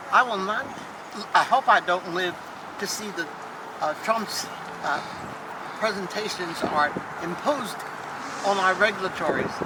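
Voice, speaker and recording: A medium-pitched woman speaks at a moderate pace with ordinary pitch variation and long, frequent pauses over noticeable background noise. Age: 80s+. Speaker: civil rights activist. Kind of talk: speech at a rally.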